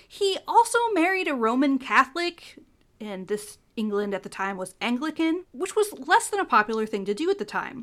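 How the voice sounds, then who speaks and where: A woman speaks with a high pitch and very wide pitch swings. She has a Midwestern American accent and keeps a moderate pace. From US Midwest, Ohio. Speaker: podcast host. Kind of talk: solo educational podcast. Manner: animated.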